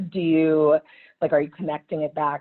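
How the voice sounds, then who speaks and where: A woman's very deep, low voice with monotone, flat intonation. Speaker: operations manager. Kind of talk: webinar interview. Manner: loud.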